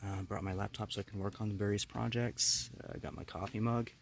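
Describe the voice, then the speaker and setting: A man talks quietly at a moderate pace, his pitch fairly low with ordinary variation. His voice is somewhat breathy. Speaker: camping vlogger. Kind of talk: casual vlog narration. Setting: inside a tent in the woods. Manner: quiet, hushed; hesitant, many fillers.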